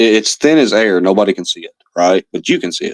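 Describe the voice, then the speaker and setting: A man with an American accent and a fairly low pitch is heard in a dry, close sound with no echo. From Louisiana, US South (Cajun). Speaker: livestreamer. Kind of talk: livestream rant. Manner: calm; halting, many fillers.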